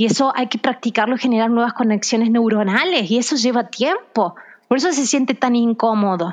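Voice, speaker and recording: In a normal speaking voice, the speaker keeps a very even loudness with ordinary pitch variation. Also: woman, fairly high pitch for a woman, fairly quick pace. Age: 30s. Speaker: physiotherapist and author. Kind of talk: interview testimony.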